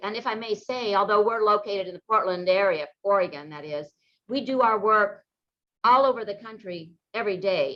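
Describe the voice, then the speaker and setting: A plain, everyday voice speaks at a fairly quick pace with ordinary pitch variation. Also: woman. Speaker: real estate attorney. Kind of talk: webinar presentation.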